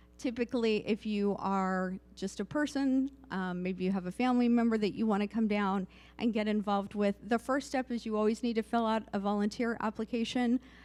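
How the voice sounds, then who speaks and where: In a very clean recording with a silent background, a woman speaks fairly quickly at a fairly high pitch with fairly even intonation. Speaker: volunteer coordinator for a pride organization. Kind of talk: town hall presentation. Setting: community meeting in a church, live-streamed. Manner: soft-spoken.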